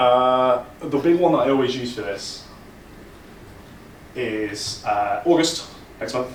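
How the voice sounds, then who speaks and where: Pausing long and often, a man with an East Midlands accent speaks amid noticeable background noise and audible room echo. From England, Leicester. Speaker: conference speaker, data engineering leader. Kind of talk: conference talk. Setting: stage with audience. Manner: casual, animated.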